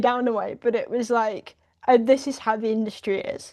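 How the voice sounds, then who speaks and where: A woman with a northern English accent and a high-pitched voice. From northern England, Lincolnshire (Grimsby, Scunthorpe). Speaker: writer and producer. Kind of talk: podcast interview. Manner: animated; fast, filler-heavy.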